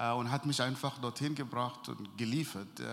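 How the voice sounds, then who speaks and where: A man talks at a moderate pace with fairly even intonation and a medium pitch. Room echo is audible. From Sudan. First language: Arabic (speaking German). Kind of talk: interview testimony. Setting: church event before sermon, audience present.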